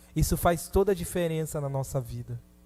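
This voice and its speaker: Over background music, a man speaks at a fairly high pitch. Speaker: preacher. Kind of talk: sermon.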